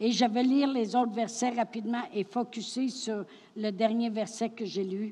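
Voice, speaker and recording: A fairly high-pitched woman with a dark, mellow tone, a somewhat breathy quality, fairly even intonation and a fairly quick pace. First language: French. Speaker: French interpreter. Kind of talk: consecutive interpreting of a sermon.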